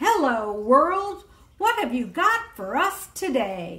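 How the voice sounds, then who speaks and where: Loud and very slow, a woman uses a put-on character voice with a high pitch and very wide pitch swings. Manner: loud, calling out.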